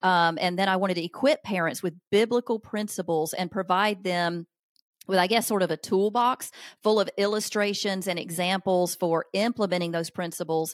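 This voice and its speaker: A woman speaks with a Southern US accent and ordinary pitch variation. The recording is very clean, with a silent background and a dry, close sound with no echo. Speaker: author and parenting speaker. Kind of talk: casual interview conversation.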